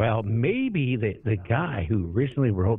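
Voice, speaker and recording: A man with an American accent has an ordinary speaking voice and a fairly low pitch. He talks at a moderate pace with lively intonation. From US Pacific Northwest, Whidbey Island, Washington. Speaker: radio talk show host. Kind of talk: radio interview.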